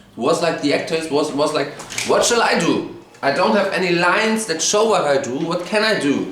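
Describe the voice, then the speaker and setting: A man's high-pitched, animated voice with a German accent and lively intonation at a moderate pace, with audible room echo and noticeable background noise. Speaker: TV show reviewer, YouTuber. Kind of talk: rant.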